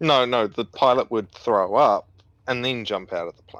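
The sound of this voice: A man's medium-pitched, fairly bright voice at a moderate pace, with ordinary pitch variation.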